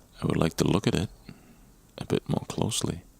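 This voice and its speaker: A relaxed tone over noticeable background noise. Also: man. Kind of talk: ASMR gameplay commentary, casual talk. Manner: relaxed, conversational.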